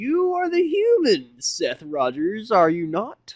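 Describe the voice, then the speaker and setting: An extremely high put-on character voice from a man, at a fairly slow pace. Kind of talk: formal. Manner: smooth, businesslike.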